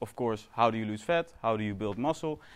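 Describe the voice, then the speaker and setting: This man speaks with a Dutch accent. His pace is moderate and his intonation lively. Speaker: fitness coach. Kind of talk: lecture. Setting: stage with audience. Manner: halting.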